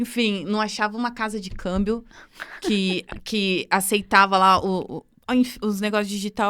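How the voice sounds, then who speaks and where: A woman speaks at a fairly high pitch. Her tone is animated. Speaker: podcast host. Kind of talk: casual chat.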